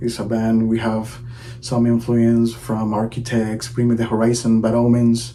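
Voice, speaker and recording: With a Venezuelan accent, a man speaks at a moderate pace and medium pitch. His intonation stays monotone and flat, with noticeable background noise. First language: Spanish. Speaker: drummer. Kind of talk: promotional video intro.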